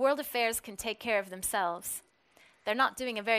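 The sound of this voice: Ordinary ups and downs in pitch from an unforced reading voice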